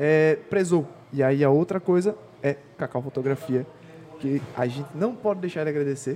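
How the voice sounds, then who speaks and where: Amid noticeable background noise, a man with a fairly high pitch and ordinary pitch variation talks at a moderate pace, leaving long, frequent pauses. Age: 20s. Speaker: podcast host. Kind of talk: casual interview. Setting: hotel.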